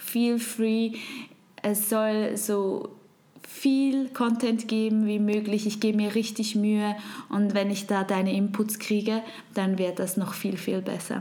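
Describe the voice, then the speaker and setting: Noticeable background noise and audible room echo surround a woman with a fairly high pitch. She speaks at a fairly slow pace, with very even loudness and monotone, flat intonation. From Switzerland. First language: Swiss German (speaking German). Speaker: podcast host. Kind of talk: podcast monologue.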